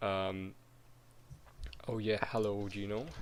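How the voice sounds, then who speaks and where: A man speaks at a very slow pace with a fairly low pitch. His intonation stays flat and monotone. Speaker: 3D animator streaming. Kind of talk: live stream tutorial chat. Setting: live stream. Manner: halting, many fillers.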